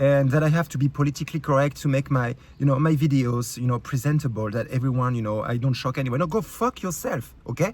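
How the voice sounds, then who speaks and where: A man with a French accent speaks very fast in a fairly high, somewhat breathy voice. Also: ordinary pitch variation. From France. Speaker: YouTube creator. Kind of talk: rant. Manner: halting, many fillers.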